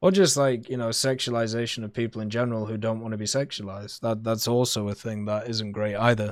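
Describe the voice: A man speaks at a fairly low pitch. His pace is fairly quick, with little pitch movement.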